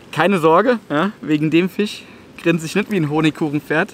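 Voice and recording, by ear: A man with fairly high pitch, ordinary pitch variation and a moderate pace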